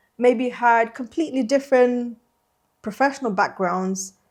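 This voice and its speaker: A woman's high-pitched voice on a very clean recording with a silent background. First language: Slovene. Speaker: interpreter trainer. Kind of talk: podcast interview. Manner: hesitant, many fillers.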